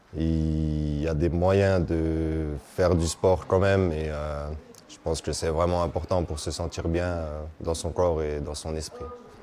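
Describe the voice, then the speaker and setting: A man with a very deep, low pitch speaks very slowly in a monotone, flat intonation. Noticeable background noise runs under him. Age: 30s. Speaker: patient testimony, person with bleeding disorder. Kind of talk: testimony. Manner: hesitant, with fillers.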